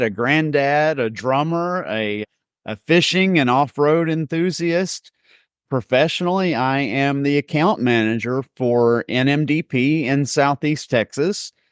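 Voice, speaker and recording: In a normal speaking voice, a man talks at a fairly slow pace with fairly high pitch and ordinary pitch variation, the sound dry and close with no echo over a quiet background. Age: 40s. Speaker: nonprofit account manager. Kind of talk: podcast interview.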